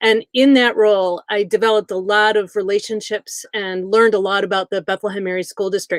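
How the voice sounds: With a Midwestern American accent, a woman talks at a fairly quick pace in a medium pitch, her intonation fairly even and the sound dry and close with no echo.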